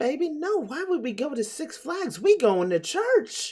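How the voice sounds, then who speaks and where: A put-on character voice, high-pitched with very wide pitch swings, at a moderate pace. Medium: solo performance.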